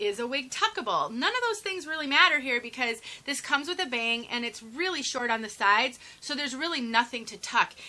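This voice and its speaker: A raised, projected voice moves at a fairly quick pace with very wide pitch swings. Noticeable background noise runs underneath. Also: woman. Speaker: wig reviewer. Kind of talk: product review tutorial. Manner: fast; animated.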